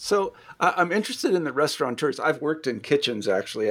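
Talking very fast in a Midwestern accent, a man at medium pitch swings his pitch very widely. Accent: general American Midwestern. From US Midwest. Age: 60s. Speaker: podcast host and interviewer. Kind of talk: casual interview.

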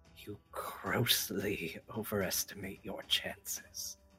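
A man's whispered, put-on character voice at a very slow pace. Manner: through gritted teeth; coolly condescending.

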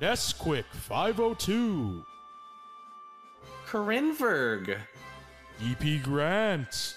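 In a put-on character voice at middle pitch, the speaker goes at a very slow pace with long, frequent pauses while clear music plays in the background. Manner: epic, dramatic.

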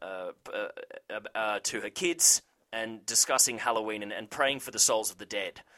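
A voice with an Australian accent and a bright, sharp tone speaks at a fairly slow pace on a very clean, dry, close recording with a silent background and no echo. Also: man. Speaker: TV recap show host. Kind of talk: casual chat. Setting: studio.

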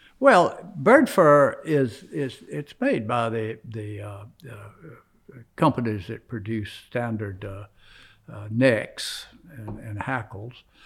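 In an American accent, a man speaks very slowly at a medium pitch, with lively intonation, vocal fry and big swings in loudness. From South Carolina. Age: 80s+. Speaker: veteran fly fisherman. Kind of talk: interview. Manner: halting, repeats words.

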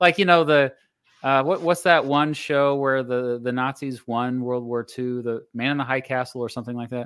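A man with an American accent and a plain, everyday voice, medium in pitch, at a moderate pace with fairly even intonation. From United States. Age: 40s. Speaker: history YouTuber. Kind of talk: casual interview chat. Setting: live-streamed video call.

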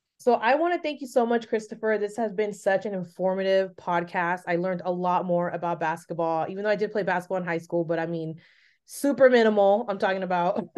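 A woman speaks at a very fast pace with a medium pitch and ordinary pitch variation over a quiet background. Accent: Bay Area. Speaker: podcast host. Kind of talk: casual interview.

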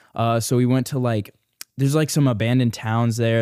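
Fairly quick, fairly even speech from a man, a normal speaking voice at medium pitch. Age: 20s. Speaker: YouTuber. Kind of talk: casual chat.

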